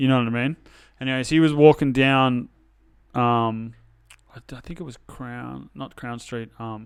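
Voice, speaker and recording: In a very clean recording with a silent background, a man with an Australian accent speaks at a fairly slow pace, with fairly even intonation and long, frequent pauses. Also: medium pitch for a man, big swings in loudness. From Sydney northern beaches, Australia. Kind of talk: casual chat.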